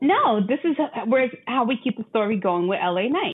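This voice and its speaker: A fairly slow, animated woman's voice, fairly high in pitch with lively intonation. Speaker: wrestling podcast co-host. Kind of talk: casual chat. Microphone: not using the new mic.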